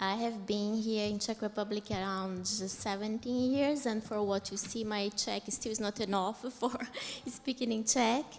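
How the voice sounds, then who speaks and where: With a Portuguese accent, a woman speaks at a moderate pace in a fairly high pitch and fairly even intonation over noticeable background noise. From Brazil. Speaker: conference panelist. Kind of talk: panel discussion.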